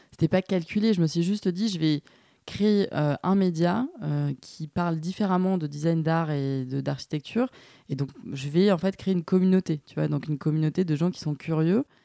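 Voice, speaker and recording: On a very clean recording with a silent background and a dry, close sound with no echo, a woman talks at a moderate pace. Her loudness swings widely, while her pitch varies in an ordinary way. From southern France, Nîmes. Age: 30s. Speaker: podcast host and former lawyer. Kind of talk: interview conversation. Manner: hesitant, many fillers.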